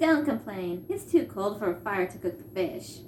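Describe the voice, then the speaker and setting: A squeaky, put-on character voice at a fairly high pitch speaks at a moderate pace over clear background noise. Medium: read story. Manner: blunt, impatient.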